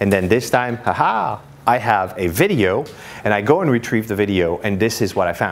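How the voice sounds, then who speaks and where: Amid noticeable background noise and audible room echo, a man talks with a French accent. His pitch is fairly low, his pace moderate and his pitch variation ordinary. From France, Paris. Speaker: marketing speaker. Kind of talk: conference presentation. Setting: stage with audience. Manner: conversational, many fillers.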